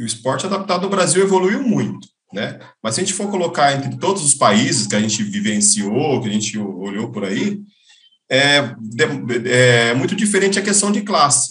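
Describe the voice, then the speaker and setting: A man speaks at a moderate pace and medium pitch, his voice showing vocal fry and very wide pitch swings, with audible room echo. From interior of São Paulo state, Brazil. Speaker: swimming coach. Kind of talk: casual interview.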